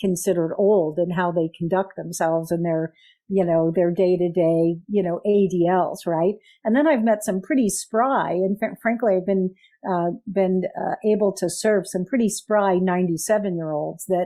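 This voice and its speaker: A woman with an American accent has an ordinary speaking voice at medium pitch, talking at a moderate pace with ordinary pitch variation and very even loudness. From US Midwest. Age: 60s. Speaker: patient advocate. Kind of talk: interview.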